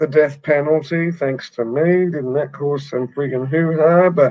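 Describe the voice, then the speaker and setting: With an Australian accent, a man speaks at a fairly high pitch with fairly even intonation. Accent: Australian, clear. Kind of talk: casual chat.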